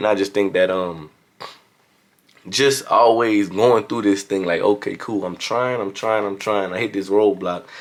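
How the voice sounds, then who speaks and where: Fairly low in pitch, a man speaks with a strong Louisiana accent and fairly even intonation. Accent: Louisiana southern accent, strong. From Louisiana, US South. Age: young. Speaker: motivational vlogger. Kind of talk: motivational talk. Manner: casual.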